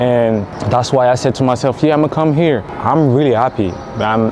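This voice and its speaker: A man talks at a moderate pace with medium pitch and ordinary pitch variation. Noticeable background noise runs under the recording. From France. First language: French. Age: 30s. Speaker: content creator. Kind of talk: vlog monologue. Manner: casual, halting.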